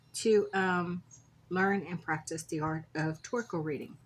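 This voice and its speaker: This woman's voice sits fairly low and is somewhat breathy, with ordinary pitch variation. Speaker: crafter and shop owner. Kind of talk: craft tutorial. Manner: relaxed, casual.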